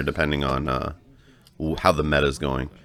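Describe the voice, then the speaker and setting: Moderate pace against noticeable background noise. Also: man. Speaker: gaming video creator, card game player. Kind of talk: match commentary voiceover. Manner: casual, with filler words.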